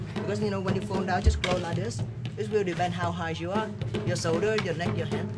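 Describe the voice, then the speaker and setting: A man talks at a fairly quick pace. Loud music plays in the background. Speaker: tour guide. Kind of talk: guided tour explanation. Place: street. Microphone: camera far.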